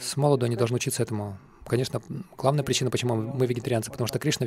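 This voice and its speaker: The man's voice is medium in pitch with a dark, mellow tone. His intonation is monotone and flat. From Western country. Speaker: Hare Krishna monk (sannyasi) teacher. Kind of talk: lecture. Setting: lecture hall with audience.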